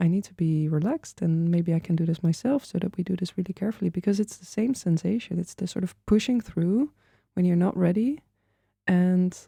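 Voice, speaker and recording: A woman with a non-native accent speaks at a fairly quick pace in a medium pitch, somewhat breathy, with ordinary pitch variation and a dry, close sound with no echo. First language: not English. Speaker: podcast host. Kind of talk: interview conversation.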